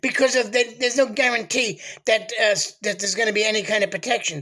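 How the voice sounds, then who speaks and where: A man with an American accent talks at a very fast pace in a raised, projected voice and an animated tone, with noticeable background noise. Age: 60s. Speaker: political commentator vlogger. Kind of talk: political monologue.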